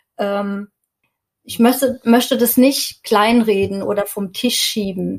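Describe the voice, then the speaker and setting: A somewhat breathy woman at a fairly high pitch, at a very slow pace, with fairly even intonation. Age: 40s. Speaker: stress and burnout coach. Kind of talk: podcast interview.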